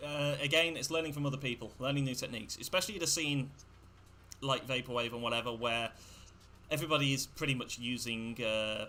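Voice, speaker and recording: A bright, sharp male voice at a medium pitch, very fast, with ordinary pitch variation. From England. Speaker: electronic music producer. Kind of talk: casual interview on livestream.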